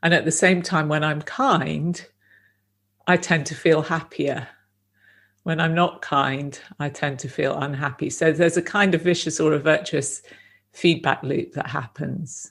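In a very clean recording with a silent background, a woman with a very deep, low pitch speaks somewhat breathily at a fairly slow pace, her intonation fairly even. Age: 50s. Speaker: meditation teacher. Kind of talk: dharma talk; guided meditation.

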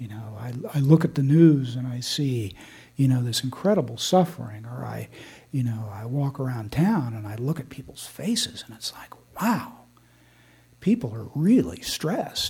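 This man talks at a moderate pace in a medium pitch, his dark, mellow tone somewhat breathy and his intonation lively. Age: 60s. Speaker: meditation teacher. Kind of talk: dharma talk. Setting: meditation hall with audience. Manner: relaxed, frequent filler words.

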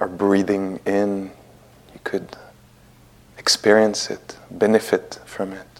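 In a French accent, a man speaks at a very slow pace with long, frequent pauses, a calm tone, fairly low pitch, monotone, flat intonation and big swings in loudness. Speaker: meditation teacher. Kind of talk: guided meditation. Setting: meditation hall at retreat center. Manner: slow, soft, calm, with long pauses; gentle, unhurried, warm.

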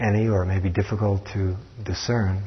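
At a moderate pace, a man speaks with fairly low pitch, monotone, flat intonation and a somewhat breathy sound. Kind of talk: guided meditation.

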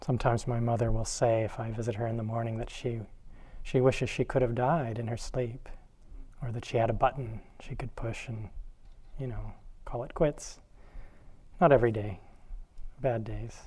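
Somewhat breathy, a man speaks at medium pitch and a moderate pace with a dark, mellow tone, fairly even intonation and long, frequent pauses. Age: 50s. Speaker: meditation teacher. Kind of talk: dharma talk.

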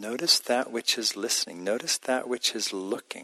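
Heard dry and close with no echo, a man with a normal speaking voice talks at a moderate pace with ordinary pitch variation. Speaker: meditation teacher. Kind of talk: guided meditation. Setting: meditation center with live audience.

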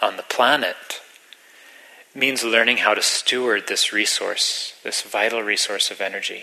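A man speaks at a fairly slow pace and a medium pitch. There is noticeable background noise. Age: 40s. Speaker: meditation teacher. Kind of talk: dharma talk.

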